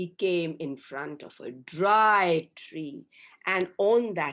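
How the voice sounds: Pitch varying in an ordinary way through a natural reading voice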